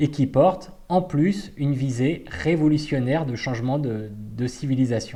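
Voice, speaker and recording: A man's somewhat breathy voice at a medium pitch, with a dark, mellow tone. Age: 40s. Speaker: party activist. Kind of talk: personal testimony. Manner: hesitant, many fillers.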